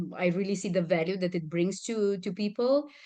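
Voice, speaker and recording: Against a quiet background, a woman with a Romanian accent speaks at a moderate pace with a medium pitch and fairly even intonation. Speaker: communication and stress management trainer. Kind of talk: interview.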